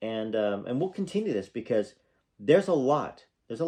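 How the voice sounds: Quiet background under a natural reading voice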